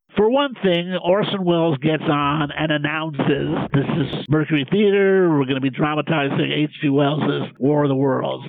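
A man with a fairly high pitch talks at a moderate pace with ordinary pitch variation and hardly any pauses. His loudness stays very even despite noticeable background noise. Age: 70s. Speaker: professor and pop culture critic. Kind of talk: casual chat.

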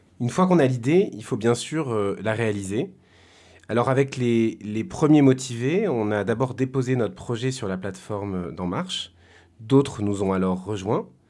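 Music plays in the background as a man talks. His pitch sits in the medium range, with lively intonation. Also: fairly slow pace. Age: 30s. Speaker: volunteer community project organiser. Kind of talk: testimony. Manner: halting, with repeated words and hesitations.

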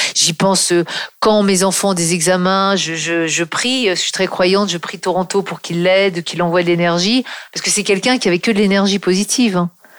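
Fairly quick speech with fairly even intonation against noticeable background noise. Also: woman. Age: 50s. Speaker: copywriter and author. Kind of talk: interview.

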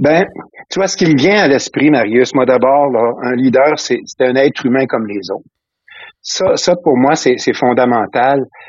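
The speech moves at a fairly slow pace with long, frequent pauses. Pitch variation is ordinary. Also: man, medium pitch for a man. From Quebec (Trois-Rivières, Valleyfield). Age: 60s. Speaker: retired school principal. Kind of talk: interview conversation. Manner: halting, many repetitions.

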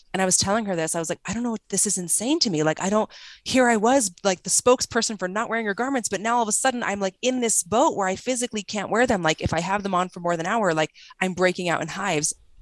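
A woman's medium-pitched voice with an American accent at a very fast pace, ordinary pitch variation, dry and close with no echo, on a very clean recording against a silent background. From Arizona. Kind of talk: casual interview.

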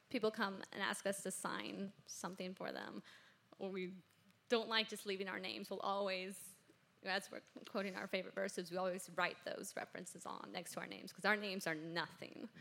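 A bright, sharp voice with vocal fry moves at a fairly quick pace, its pitch varying in an ordinary way. Long pauses come often. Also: woman. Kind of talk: interview. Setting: stage with audience.

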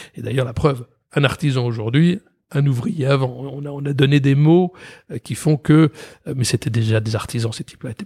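A man with a dark, mellow, somewhat breathy voice at a medium pitch speaks with ordinary pitch variation, big swings in loudness and long, frequent pauses, in a dry, close sound with no echo. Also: moderate pace. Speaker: company president and creative director. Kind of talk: interview. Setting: office.

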